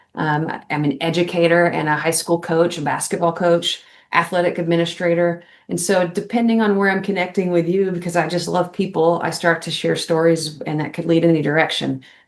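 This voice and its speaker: With an American accent, a woman talks at a fairly quick pace in a fairly low pitch and a monotone, flat intonation. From Texas, Dallas-Fort Worth area. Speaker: army veteran, educator and basketball coach. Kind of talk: podcast interview.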